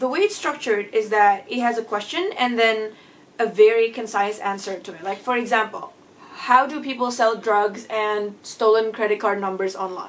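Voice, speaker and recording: A woman with a non-native accent talks at a fairly high pitch and moderate pace, with ordinary pitch variation and big swings in loudness. Noticeable background noise is present. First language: not English. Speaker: book reviewer. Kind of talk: casual vlog book review.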